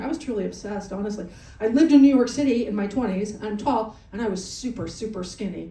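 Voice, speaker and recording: With audible room echo and noticeable background noise, a woman talks at a very fast pace with ordinary pitch variation. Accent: American. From Colorado. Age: 60s. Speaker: stand-up comedian. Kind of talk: stand-up. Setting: comedy club on a cruise ship, live audience. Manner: animated.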